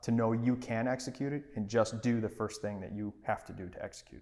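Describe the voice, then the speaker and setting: A man talks at a moderate pace and medium pitch, his intonation monotone and flat. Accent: American. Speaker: podcast co-host, entrepreneur. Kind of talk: casual chat.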